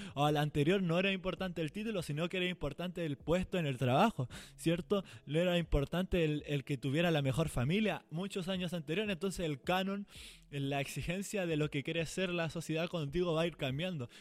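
In an animated tone, a man with a high voice talks at a fairly quick pace. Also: ordinary pitch variation. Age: 20s. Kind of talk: casual devotional talk.

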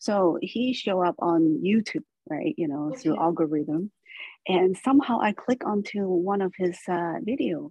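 A woman with an unremarkable speaking voice, medium in pitch, at a moderate pace. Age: 40s. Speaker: spiritual storyteller. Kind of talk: personal testimony.

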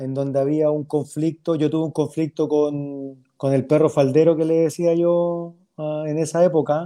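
A man with a fairly high but dark, mellow voice speaks at a fairly slow pace with hardly any pauses. His intonation stays monotone and flat. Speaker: former professional footballer. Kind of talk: interview.

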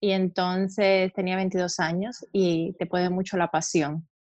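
The sound is dry and close, with no echo. A woman speaks at a medium pitch and a fairly slow pace in a monotone, flat intonation. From Cuba, outside Havana. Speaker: aesthetic medicine doctor. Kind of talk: interview.

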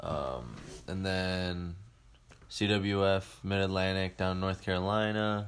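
A man with an American accent, very deep and low in pitch, speaking at a fairly slow pace with fairly even intonation. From Ohio, Cleveland suburbs. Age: 20s. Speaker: professional wrestler. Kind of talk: casual interview.

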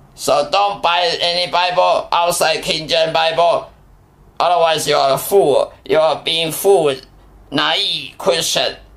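Noticeable background noise runs through the clip. A man speaks at a fairly slow pace. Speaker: preacher. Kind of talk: sermon. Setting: recorded podcast, Taiwan. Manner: fervent, admonishing, warning tone; halting, non-native phrasing.

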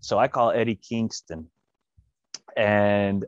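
With a Texan accent, a man talks in a fairly low pitch, the sound dry and close with no echo. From West Texas, small town. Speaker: professional wrestler. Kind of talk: interview. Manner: casual.

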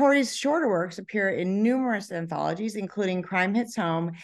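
A woman's medium-pitched voice at a moderate pace, with ordinary pitch variation, over a quiet background. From California. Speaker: podcast host and author. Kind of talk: interview. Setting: hotel conference room.

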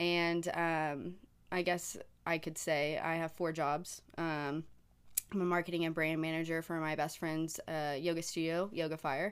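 A woman with an American accent, fairly low pitch, and monotone, flat intonation at a fairly slow pace, in a very clean recording with a silent background. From Oklahoma, Tulsa. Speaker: graphic designer and marketing manager. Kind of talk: casual chat.

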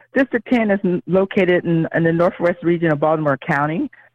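A woman with an American accent has an ordinary speaking voice, fairly low in pitch, with lively intonation. She talks at a moderate pace, and the sound is dry and close with no echo. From Ohio, US Midwest (Cincinnati). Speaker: political candidate, educator. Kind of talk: interview.

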